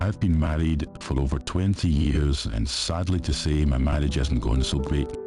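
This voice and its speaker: A man's very deep, low voice with a Scottish accent, moderate pace, ordinary pitch variation, very even loudness, and music in the background. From Scotland. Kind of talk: horror story narration.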